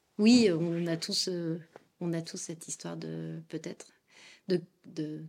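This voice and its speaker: Female speech captured very cleanly against total silence. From France. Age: 30s. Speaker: podcast guest, poet and tech worker. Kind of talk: testimony. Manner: animated.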